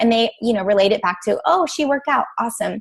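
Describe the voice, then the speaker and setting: Speaking very fast, a woman shows ordinary pitch variation. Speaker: fitness and nutrition coach. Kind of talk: team training call. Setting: group call.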